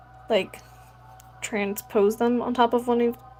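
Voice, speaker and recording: Through noticeable background noise, a woman with an American accent speaks fairly slowly at a fairly high pitch, her intonation monotone and flat. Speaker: Lego builder streamer. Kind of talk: casual live stream chat. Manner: casual, filler-heavy.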